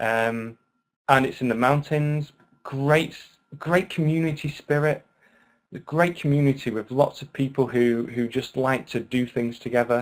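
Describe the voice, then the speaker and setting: A man with a British accent speaks at a fairly slow pace. His voice sits at medium pitch with ordinary pitch variation. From UK. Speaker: online English teacher. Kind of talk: webinar lecture. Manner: animated.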